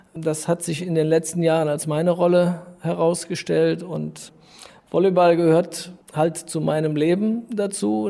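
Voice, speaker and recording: The tone is dark and mellow. Delivery comes at a fairly slow pace. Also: man. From Rhineland, Germany (Düren). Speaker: volleyball club co-owner. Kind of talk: interview.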